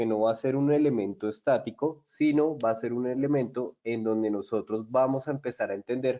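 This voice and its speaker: A man with a Colombian accent talks at a medium pitch. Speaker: software solutions presenter. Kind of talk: webinar product demo. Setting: online webinar.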